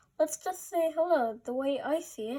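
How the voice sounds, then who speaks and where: A put-on character voice from a woman, extremely high-pitched and warm in tone, at a moderate pace. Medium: read story. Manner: warm, patient.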